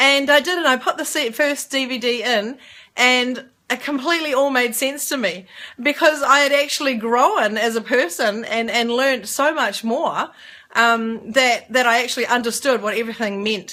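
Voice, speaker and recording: With a New Zealand accent, a woman speaks at a high pitch with ordinary pitch variation. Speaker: network marketer. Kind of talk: casual talk to camera. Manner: fast.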